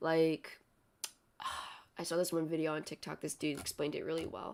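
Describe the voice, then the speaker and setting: This voice is soft-spoken. The delivery moves fairly quickly. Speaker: streamer. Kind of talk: casual chat. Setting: home livestream in small house. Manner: halting.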